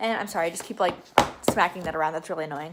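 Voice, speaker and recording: A woman talks in an animated tone with lively intonation. Noticeable background noise runs behind her. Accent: American. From Florida (Fort Lauderdale). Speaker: book vlogger. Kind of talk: casual vlog talk. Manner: fast.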